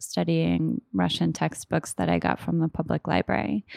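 On a very clean recording with a silent background, a woman with an American accent sounds dry and close, with no echo. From Oklahoma, US. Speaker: literary translator and author. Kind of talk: interview monologue.

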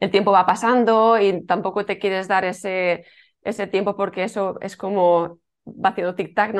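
The intonation is monotone and flat. The speaking pace is moderate. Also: woman. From Spain, Alicante. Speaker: yoga teacher and former fertility clinic worker. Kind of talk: interview.

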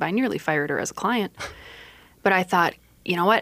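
Here is a woman with an American accent and a normal speaking voice, pitched fairly low. She talks at a fairly quick pace on a very clean recording with a silent background. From Iowa. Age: 30s. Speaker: lawyer. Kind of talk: radio interview. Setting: radio studio.

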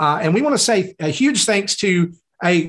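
With lively intonation, a man's high-pitched voice carries the speech. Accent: Southern US. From US South, Tennessee. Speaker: podcast host. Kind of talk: casual chat.

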